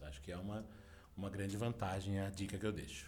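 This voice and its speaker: This man talks fairly quickly, and audible echo from the room surrounds his voice. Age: 40s. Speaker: journalism professor. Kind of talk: interview.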